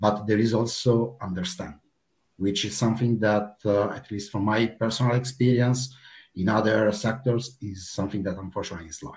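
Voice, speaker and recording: A man's fairly low, somewhat breathy voice at a fairly quick pace, with ordinary pitch variation and big swings in loudness. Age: 30s. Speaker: player support project manager. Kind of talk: casual interview.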